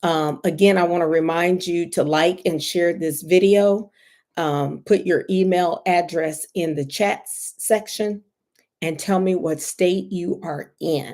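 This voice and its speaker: A woman with an ordinary speaking voice talks at a fairly slow pace and fairly low pitch, her intonation fairly even. Her loudness swings widely on a very clean recording with a silent background. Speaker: licensed therapist. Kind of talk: livestream talk.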